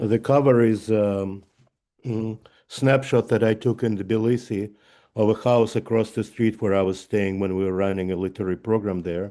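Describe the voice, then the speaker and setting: With a Russian accent, a man speaks at a moderate pace in a fairly low pitch, his tone dark and mellow and his intonation fairly even. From Russia (Leningrad). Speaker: author. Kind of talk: author talk. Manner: halting.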